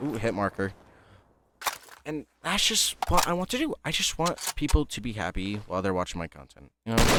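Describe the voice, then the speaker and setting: This man's fairly low voice moves through very wide pitch swings and big jumps in loudness at a moderate pace. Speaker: gaming youtuber. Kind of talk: gameplay commentary, casual rambling. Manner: halting, many fillers; casual, rambling.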